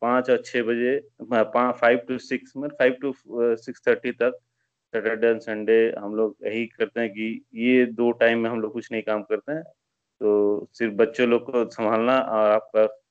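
A man talks at a medium pitch with a monotone, flat intonation. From West Bengal, Asansol. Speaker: listener, satsang participant. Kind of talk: casual testimony. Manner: halting.

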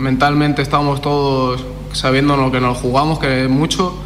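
A man's medium-pitched, monotone voice with flat intonation at a moderate pace, with audible room echo and noticeable background noise. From France. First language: French (speaking Spanish). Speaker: footballer. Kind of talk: interview. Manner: halting.

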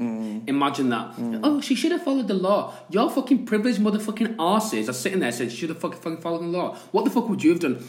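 Very fast and with hardly any pauses, a man speaks with a Yorkshire accent and a high pitch. His pitch swings very widely, and there is noticeable background noise. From Yorkshire, England. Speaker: podcast co-host. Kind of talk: casual chat. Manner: animated.

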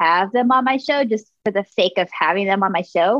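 A woman with an American accent has an ordinary speaking voice, fairly high in pitch. She talks at a moderate pace with lively intonation. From Texas. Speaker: podcast host and artist. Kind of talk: casual chat.

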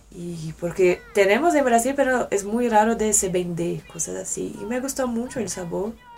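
Over noticeable background noise, a woman talks fairly slowly with lively intonation and a fairly high pitch. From Brasília, Brazil. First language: Portuguese (speaking Spanish). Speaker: exchange student. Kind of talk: casual interview. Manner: halting.

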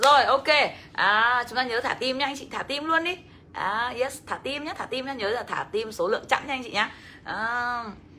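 At a fairly quick pace, a woman projects a raised voice in a high pitch. Her pitch varies in an ordinary way. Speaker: financial education coach. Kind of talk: livestream seminar. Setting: livestream. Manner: animated.

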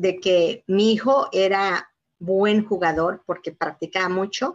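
A woman's medium-pitched voice, very slow in pace, with ordinary pitch variation. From Mexico, Yucatán. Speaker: community leader, foundation president. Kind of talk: live interview. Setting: video call. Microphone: weak wifi connection.

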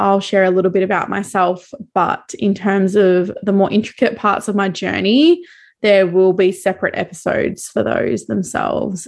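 Over a quiet background, a woman speaks at a medium pitch with fairly even intonation. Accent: Australian. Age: 20s. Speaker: podcast host, cacao seller and cycle coach. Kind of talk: solo monologue.

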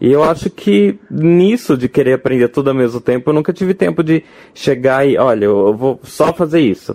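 In a normal speaking voice, a man talks at a moderate pace and medium pitch with lively intonation and very even loudness, the sound dry and close with no echo. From Brazil, Rio de Janeiro. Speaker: game designer and drag performer. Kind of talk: casual interview chat. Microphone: poor recording quality early on.

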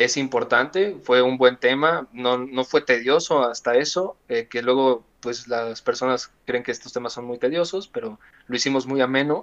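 With an unremarkable speaking voice, a man talks at a fairly slow pace at a medium pitch with ordinary pitch variation. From Mexico. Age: 20s. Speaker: podcast guest. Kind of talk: casual chat.

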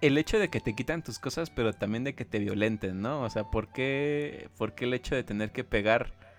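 A man with a Mexican accent, ordinary pitch variation and hardly any pauses, on a very clean recording with a silent background. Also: medium pitch for a man, moderate pace. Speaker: podcast co-host. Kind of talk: casual chat.

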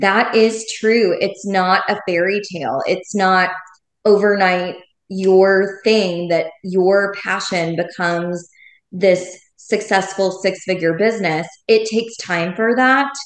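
A woman at a very slow pace, medium in pitch, with fairly even intonation and audible room echo. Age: 40s. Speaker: former teacher turned education entrepreneur. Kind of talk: interview.

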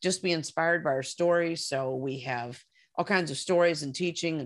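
Over a quiet background, a woman speaks at a moderate pace in a very deep, low voice with ordinary pitch variation. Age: 60s. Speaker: filmmaker. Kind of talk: casual interview conversation.

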